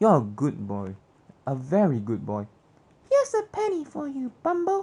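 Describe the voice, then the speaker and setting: The pace here is moderate. The voice is a put-on character voice. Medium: read story.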